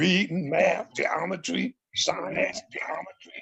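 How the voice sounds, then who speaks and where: A man's voice, high in pitch. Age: 70s. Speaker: community elder, former movement member. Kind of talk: panel discussion.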